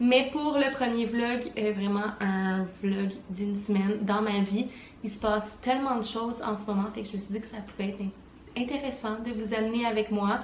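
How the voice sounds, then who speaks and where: A woman with a Quebec accent speaks with fairly even intonation amid audible room echo and noticeable background noise. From Quebec, Montreal. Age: 20s. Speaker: vlogger and wedding planner. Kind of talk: vlog.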